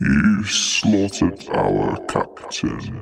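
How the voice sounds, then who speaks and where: This man puts on a character voice pitched fairly low. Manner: threatening, accusing.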